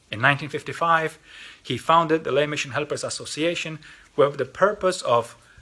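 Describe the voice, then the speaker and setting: This man speaks at a moderate pace with a Polish accent, his fairly high voice bright and sharp in tone. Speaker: lay mission organization representative. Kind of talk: mission appeal talk. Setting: recorded video. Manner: halting, with repetitions.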